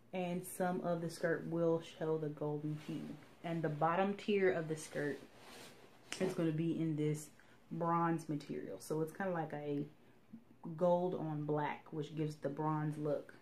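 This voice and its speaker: A woman talks at a fairly slow pace in a very deep, low pitch with monotone, flat intonation. There is audible room echo. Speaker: sewing vlogger. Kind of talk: casual tutorial-style vlog. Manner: whispering, quiet.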